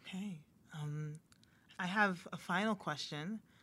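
A woman with an American accent speaks at a fairly slow pace in an ordinary speaking voice, her pitch fairly low with ordinary pitch variation. The recording is very clean, with a silent background. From US, Haitian American. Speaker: podcast host and licensed counselor. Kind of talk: scripted podcast intro; casual interview conversation.

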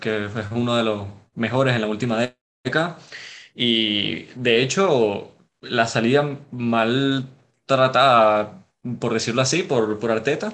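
The speech moves at a very slow pace with long, frequent pauses and ordinary pitch variation. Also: man, medium pitch for a man. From Venezuela, Caracas. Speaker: football analyst. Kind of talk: casual football analysis chat. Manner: halting, repeats words.

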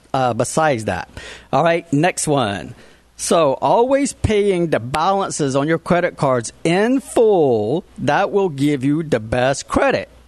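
Speaking at a fairly slow pace, a man with a fairly high voice swings very widely in pitch while his loudness stays very even. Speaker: radio host and credit expert. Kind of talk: radio talk show interview. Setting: studio. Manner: conversational, explanatory.

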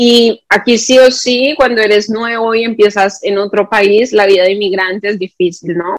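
Ordinary pitch variation from a woman with a fairly high voice, at a moderate pace. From Colombia, Bogotá. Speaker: YouTube content creator. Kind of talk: casual interview.

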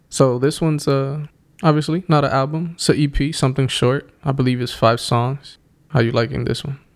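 Fairly even intonation marks an ordinary speaking voice. The pace is fairly quick. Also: man, fairly high pitch for a man. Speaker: podcast host. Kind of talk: casual banter. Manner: casual, profane, chatty.

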